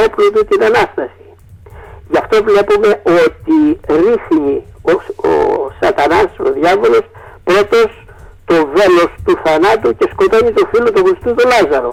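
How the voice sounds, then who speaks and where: A man talks fairly slowly as noticeable background noise carries on behind him. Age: 70s. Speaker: priest. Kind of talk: interview. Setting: internet radio studio. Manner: halting.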